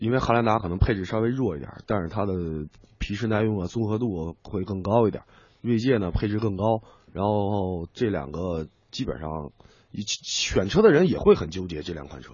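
A man with a normal speaking voice talks at a moderate pace, fairly low in pitch. His loudness swings widely, while his pitch varies an ordinary amount. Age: 30s. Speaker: radio commentator and editor. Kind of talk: radio talk show chat.

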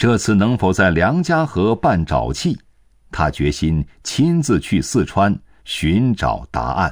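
A man's fairly low voice with vocal fry, very wide pitch swings and a dramatic, solemn tone, at a very slow pace, in a very clean recording with a silent background. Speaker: narrator. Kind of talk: history documentary narration. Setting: studio. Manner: measured, solemn, steady pace; formal, dramatic storytelling tone.

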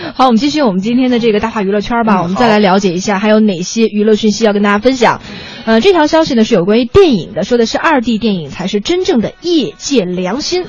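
Over noticeable background noise, a woman talks very fast in a fairly high voice with lively intonation. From China, Shaanxi (Weinan). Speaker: radio host. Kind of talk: casual chat. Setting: studio.

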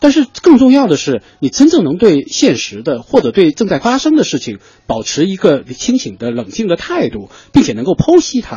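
A man at a moderate pace, with very wide swings in pitch. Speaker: TV media personality, regular radio guest. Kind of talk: radio talk show conversation. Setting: radio studio.

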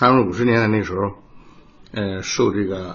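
A man with a fairly low pitch and a somewhat breathy voice speaks at a moderate pace, with audible room echo. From Jiangsu, Nanjing. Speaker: opera tenor. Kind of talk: interview. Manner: halting.

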